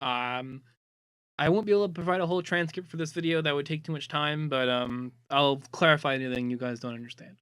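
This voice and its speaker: A man mumbles at a fairly quick pace. His pitch is fairly high, with ordinary variation. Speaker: online community moderator. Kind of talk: casual data presentation. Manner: mumbling; hesitant, many fillers.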